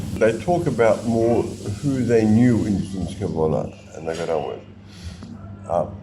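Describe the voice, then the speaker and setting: With noticeable background noise and audible room echo, a man speaks fairly slowly at a fairly low pitch, using lively intonation and long, frequent pauses. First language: Yiddish. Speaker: interviewee sharing family history. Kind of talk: oral history interview.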